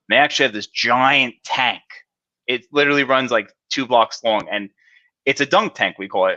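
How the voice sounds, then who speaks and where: A man with a New Jersey accent talks at a fairly quick pace in a bright, sharp tone with ordinary pitch variation, the sound dry and close with no echo against a quiet background. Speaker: cybersecurity specialist. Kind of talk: interview. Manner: casual, filler-heavy.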